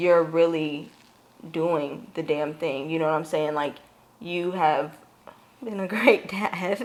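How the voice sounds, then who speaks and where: A woman speaks very slowly in a shaky, fairly low voice with ordinary pitch variation. Long pauses come often, and background noise is noticeable. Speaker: podcast co-host. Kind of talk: casual chat. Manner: shaky voice.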